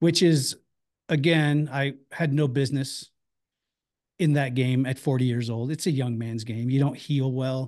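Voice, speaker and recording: A man uses a normal speaking voice, medium in pitch, at a fairly slow pace. His intonation is fairly even, and the background is quiet. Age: 50s. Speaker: bounty hunter and former MMA fighter. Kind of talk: casual chat.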